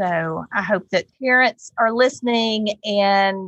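A woman speaks very slowly at a fairly high pitch. The sound is dry and close, with no echo. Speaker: podcast host. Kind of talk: casual interview.

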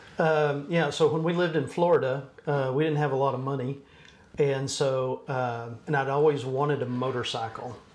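Amid audible room echo and noticeable background noise, a man with a Texan accent speaks at a moderate pace and a fairly high pitch with fairly even intonation. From Texas. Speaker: church business administrator. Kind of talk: casual interview.

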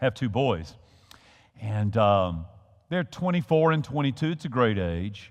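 Speaking in a Southern US accent at a fairly slow pace, the voice swings very widely in pitch, with long, frequent pauses. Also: man, medium pitch for a man. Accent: Southern US (Georgia). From US South, Georgia. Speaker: pastor. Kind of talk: sermon. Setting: church. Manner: halting, frequent repetitions.

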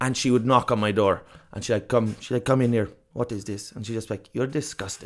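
A man with a southern Irish accent speaks at a fairly quick pace and medium pitch in a very clean recording with a silent background. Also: fairly even intonation. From southern Ireland. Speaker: comedian. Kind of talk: casual chat.

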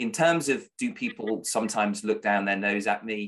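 A man speaks with a British accent. His pitch is fairly low and his pace moderate. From Britain. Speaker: freelance broadcast reporter. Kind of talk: casual interview chat.

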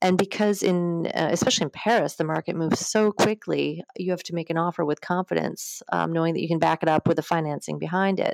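A woman with an Upper Midwest accent talks very fast with hardly any pauses, at a fairly low pitch and with fairly even intonation. The sound is dry and close with no echo. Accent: Upper Midwest American. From US Midwest, Wisconsin. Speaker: mortgage broker. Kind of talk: interview.

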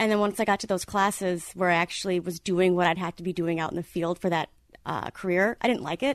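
Against a quiet background with a dry, close sound and no echo, a woman with an American accent talks at a very fast pace in a medium-pitched voice with fairly even intonation. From Wisconsin, Green Bay area. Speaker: graphic designer and art director. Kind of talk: casual interview. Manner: halting, many fillers.

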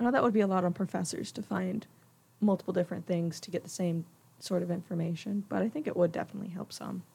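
A woman with a fairly low pitch and a dark, mellow tone talks at a very fast pace, showing ordinary pitch variation and vocal fry. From Georgia, Lilburn near Atlanta. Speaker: college student. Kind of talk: casual chat.

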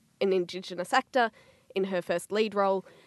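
A woman's medium-pitched voice in an Australian accent, fairly even in intonation, dry and close with no echo against a quiet background. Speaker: film writer and academic co-host. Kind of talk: casual panel discussion. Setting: studio.

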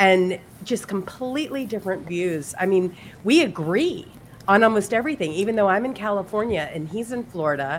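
A woman with a normal speaking voice talks fairly quickly at a medium pitch, her intonation lively. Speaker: podcast co-host.

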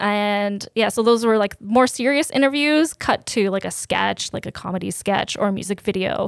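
A woman with an ordinary speaking voice speaks at a medium pitch and moderate pace with ordinary pitch variation and hardly any pauses, the sound dry and close with no echo on a very clean recording with a silent background. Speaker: chef. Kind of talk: casual chat.

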